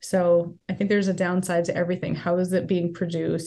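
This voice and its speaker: Over a quiet background, a woman with an American accent talks at a very fast pace. Her pitch is fairly low and her intonation monotone and flat. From US Northeast, rural northern Rhode Island. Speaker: vegan festival organizer. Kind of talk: interview.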